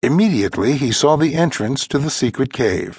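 Over a quiet background, a somewhat breathy voice moves at a fairly slow pace with very wide pitch swings. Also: man. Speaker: audiobook narrator. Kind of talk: scripted audiobook narration of a children's fantasy story. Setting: studio.

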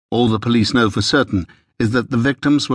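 With a British accent, a man speaks at a medium pitch and fairly even intonation. The sound is dry and close with no echo, over a quiet background. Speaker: audiobook narrator. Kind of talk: dramatic audiobook narration, crime thriller. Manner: tense, hushed, measured storytelling pace.

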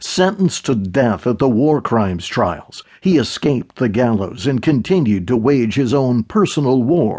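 This is plain reading aloud. The intonation sounds lively.

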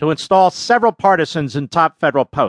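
A man talking at a fairly quick pace, dry and close with no echo, over a quiet background. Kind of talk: audiobook narration of political nonfiction. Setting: studio. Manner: formal, sternly indignant, polemical tone.

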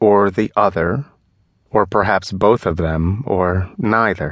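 In an unremarkable speaking voice, a man talks fairly slowly at a fairly low pitch with ordinary pitch variation, the sound dry and close with no echo and the background quiet. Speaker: audiobook narrator.

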